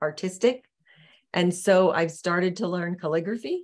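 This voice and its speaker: A woman talks in an unremarkable speaking voice. Her pitch is medium and her intonation fairly even. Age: 60s. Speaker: podcast guest, coach. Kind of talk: casual interview chat.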